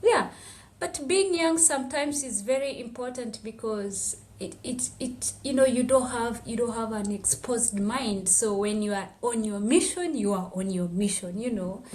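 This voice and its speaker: A woman's fairly high, lively voice at a moderate pace, with audible room echo and noticeable background noise. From Tanzania, Maasai village on Kilimanjaro slopes. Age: 20s. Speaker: activist and public health student. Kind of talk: podcast interview, personal testimony. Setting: podcast interview.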